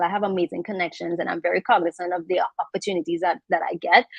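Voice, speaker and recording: Speaking at a very fast pace, a woman has a strong Trinidadian accent. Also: dry, close sound with no echo. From Trinidad, south. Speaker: makeup artist and content creator. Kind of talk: panel discussion.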